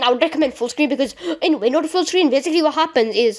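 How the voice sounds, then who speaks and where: Lively intonation in a woman's speech. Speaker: gaming tutorial youtuber. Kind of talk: tutorial. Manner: fast; halting, many fillers.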